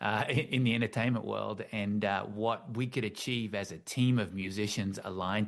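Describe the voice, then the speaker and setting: The voice has an Australian accent, with fairly even intonation at a fairly quick pace. The background is quiet. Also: man. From Australia, Tasmania. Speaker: author and team-building consultant. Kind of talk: interview conversation. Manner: halting, many repetitions.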